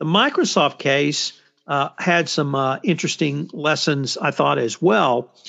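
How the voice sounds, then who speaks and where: The speaker has a Texas accent, talking at a very slow pace with ordinary pitch variation. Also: man, fairly high pitch for a man. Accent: Texas twang. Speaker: podcast host, compliance commentator. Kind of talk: roundtable discussion.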